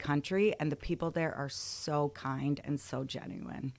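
Her pitch sits very deep and low as a woman talks with fairly even intonation, the recording very clean and the background silent. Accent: Upper Midwest. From Michigan, Lansing area. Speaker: school principal. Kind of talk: interview.

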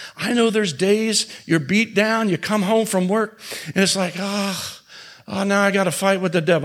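Speaking at a fairly quick pace, a man with a high voice keeps a fairly even intonation against noticeable background noise. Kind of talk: sermon, preacher in full flow with call-and-response. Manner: repeats phrases for emphasis and prompts the audience to answer.

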